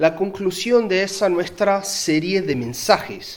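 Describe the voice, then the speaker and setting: The speaker, with a Uruguayan accent, talks at a fairly slow pace amid audible room echo. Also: man. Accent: Uruguayan Spanish, noticeable. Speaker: pastor. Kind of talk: sermon. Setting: church.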